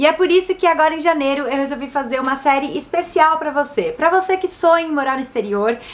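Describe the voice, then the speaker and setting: With a São Paulo accent, a woman speaks at a fairly quick pace in an upbeat tone. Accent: Brazilian Portuguese, São Paulo. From São Paulo city, Brazil. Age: 30s. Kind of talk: casual talk to camera.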